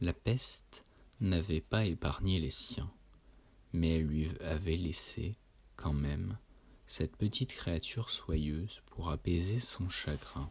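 This man's pitch is very deep and low, and his voice is somewhat breathy with ordinary pitch variation. He speaks at a very slow pace with long, frequent pauses. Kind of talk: literary audiobook reading of Lovecraft tales, solemn gothic narration. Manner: slow, measured and formal, with a dreamy, hushed storyteller's cadence; grave and atmospheric, lingering on long sentences with a somber tone.

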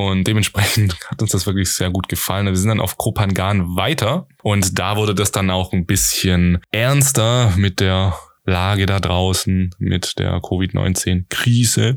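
The intonation stays fairly even. Loudness holds very even throughout. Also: man, very deep, low pitch for a man, fairly slow pace, hardly any pauses. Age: 20s. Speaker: podcast host. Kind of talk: solo podcast monologue.

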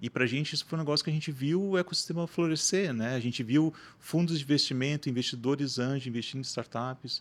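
Over a silent background in a very clean recording, a man with an ordinary speaking voice talks fairly quickly with ordinary pitch variation. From Santa Catarina, Brazil (Rio do Sul). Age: 30s. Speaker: marketing agency founder. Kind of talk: podcast interview.

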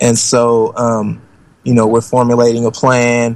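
Someone with an American accent speaks at a moderate pace. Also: man. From Oakland, California. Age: 40s. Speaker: documentary filmmaker. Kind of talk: interview.

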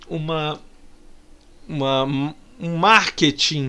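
The man speaks in an animated tone. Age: 30s. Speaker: radio host. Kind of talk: casual commentary.

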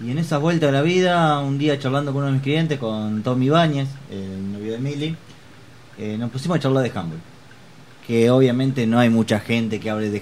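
This man's delivery is moderately paced, and his pitch varies in an ordinary way. It is an ordinary speaking voice. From Argentina, Chivilcoy. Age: 30s. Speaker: amateur handball player and hairdresser. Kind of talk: interview.

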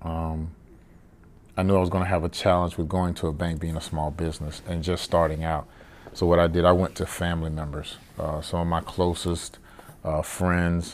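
In a monotone, flat intonation, a man speaks at a moderate pace with a very deep, low pitch. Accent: Southern US. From US South, Savannah, Georgia. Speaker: cigar lounge owner, retired Navy chief. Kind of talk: casual interview. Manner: hesitant, many fillers.

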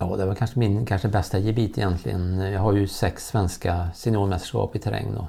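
With fairly even intonation and a moderate pace, a man talks in a very deep, low pitch. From Värmland, Sweden. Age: 50s. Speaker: former elite distance runner. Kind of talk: interview. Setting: at a kitchen table at home.

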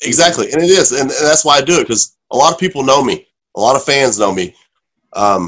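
At a moderate pace, a man with medium pitch speaks with very wide pitch swings. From Oklahoma. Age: 30s. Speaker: professional wrestler. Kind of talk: casual chat.

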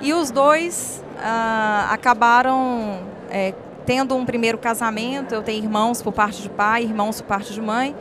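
Here a woman has an unremarkable speaking voice, fairly high in pitch. She talks at a fairly slow pace with fairly even intonation. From northern Minas Gerais, Brazil (Montes Claros). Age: 30s. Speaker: social impact entrepreneur. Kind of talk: emotional life-story interview. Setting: event venue at an expo.

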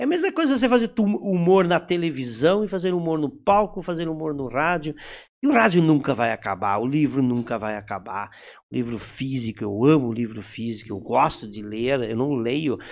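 At a moderate pace, a man with a fairly high pitch talks in very wide pitch swings, in a very clean recording with a silent background. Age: 50s. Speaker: actor and theatre director. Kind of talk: casual interview chat.

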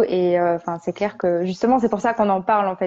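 Her pace is fairly quick. This voice belongs to a woman. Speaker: podcast host. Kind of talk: live Instagram interview. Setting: Instagram live video stream.

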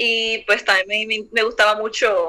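A woman speaks in a fairly high pitch with a bright, sharp tone. Her intonation stays flat and monotone. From Puerto Rico. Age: 20s. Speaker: visual artist. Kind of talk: interview.

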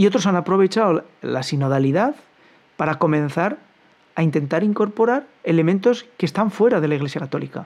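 This man's pitch is high. He talks at a fairly quick pace. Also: lively intonation. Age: 50s. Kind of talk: commentary monologue.

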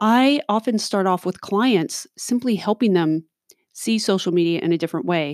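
At a moderate pace, a woman speaks with an animated tone, lively intonation, medium pitch and very even loudness, in a very clean recording with a silent background and a dry, close sound with no echo. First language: not English (lost first language). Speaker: podcast host, social media consultant. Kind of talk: solo podcast monologue.

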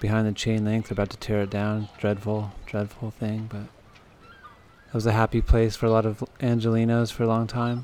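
A man with a fairly low pitch talks at a fairly quick pace in a relaxed tone, his intonation monotone and flat. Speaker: radio host. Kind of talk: radio dj patter. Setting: outdoors on location at Terminal Island. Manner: relaxed, conversational, back-announcing tracks.

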